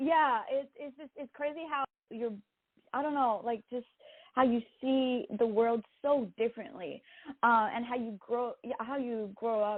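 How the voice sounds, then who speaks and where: This speaker has a Quebec accent and a moderate pace. The pitch varies in an ordinary way. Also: woman. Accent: French-Canadian accent in English. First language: French. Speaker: singer-songwriter. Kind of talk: interview. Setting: podcast interview.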